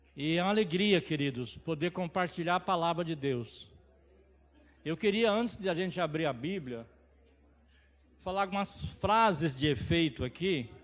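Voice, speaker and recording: A man with a high-pitched voice speaks at a moderate pace with lively intonation, leaving long, frequent pauses. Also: very clean recording, silent background. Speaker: lay preacher. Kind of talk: sermon. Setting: church service.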